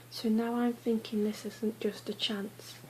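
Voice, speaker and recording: A soft-spoken woman talks at a fairly high pitch in a flat monotone, with noticeable background noise. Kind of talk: ASMR book reading.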